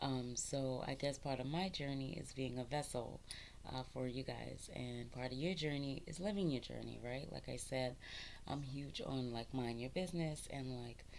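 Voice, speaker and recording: A woman with a very deep, low pitch speaks at a moderate pace amid audible room echo. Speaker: spiritual content creator. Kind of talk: casual spiritual talk to camera. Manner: halting, many ums; expressive, talks with her hands.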